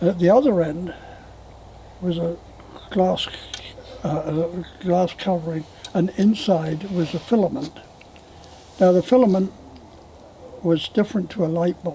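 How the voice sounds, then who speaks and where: A man with a high voice speaks at a moderate pace in a fairly even tone, leaving long, frequent pauses, over noticeable background noise. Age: 90s. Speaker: elderly storyteller. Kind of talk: oral history interview.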